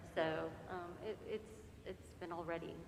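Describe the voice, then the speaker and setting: A woman's fairly low voice with an American accent, amid audible room echo and noticeable background noise. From central Florida. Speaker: priest's wife. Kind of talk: casual remarks to congregation.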